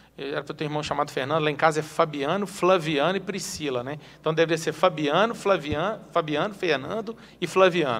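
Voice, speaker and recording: Speaking in a plain, everyday voice, a man talks at a fairly quick pace and fairly high pitch, with ordinary pitch variation. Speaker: city councillor and teacher. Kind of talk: interview.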